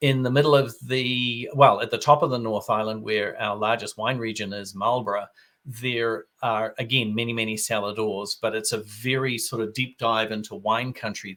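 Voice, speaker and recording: Bright and sharp in tone, a man of medium pitch with a New Zealand accent talks at a moderate pace with fairly even intonation on a very clean recording with a silent background. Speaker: wine expert. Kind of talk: interview.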